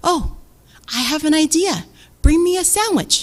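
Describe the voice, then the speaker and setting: In a put-on character voice, a woman speaks at an extremely high pitch. Her pace is moderate. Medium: read story.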